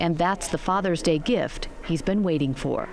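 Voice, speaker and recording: Noticeable background noise accompanies a woman whose pitch swings very widely as she speaks at a moderate pace. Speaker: news reporter and voiceover artist. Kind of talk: TV news package narration. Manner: empathetic, measured.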